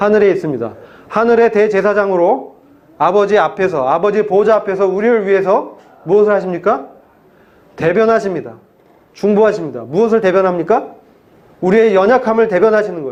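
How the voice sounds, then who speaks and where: A man's high voice at a fairly quick pace, broken by long, frequent pauses, with ordinary pitch variation and audible room echo. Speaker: pastor. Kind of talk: sermon.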